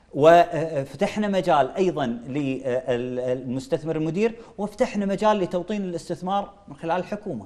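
Lively intonation comes at a fairly slow pace, with hardly any pauses. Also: man, high pitch for a man. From Kuwait. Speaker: member of parliament; guest. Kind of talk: political interview. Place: studio. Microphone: lapel.

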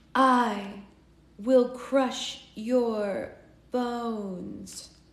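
A female-sounding put-on character voice, fairly high in pitch, rings with audible echo. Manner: menacing.

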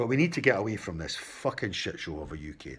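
A man with a Scottish accent speaks at a moderate pace in a very deep, low voice with vocal fry. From Scotland. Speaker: political commentator. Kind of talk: opinion monologue. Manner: impassioned. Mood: frustrated, opinionated. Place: home room. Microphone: phone near.

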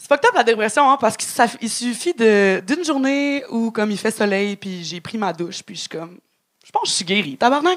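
A woman speaks at a moderate pace with very wide pitch swings and big swings in loudness. The background is quiet. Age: 30s. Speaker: stand-up comedian. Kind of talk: stand-up. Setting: stage with audience. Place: stage. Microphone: handheld.

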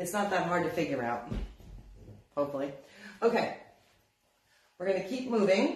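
Amid audible room echo, a woman with a fairly low pitch speaks at a moderate pace, her voice making very wide pitch swings between long, frequent pauses. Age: 50s. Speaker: craft shop owner teaching furniture painting; paint instructor. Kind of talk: live-streamed painting tutorial. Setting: Facebook live video in her store. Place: shop. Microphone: phone near.

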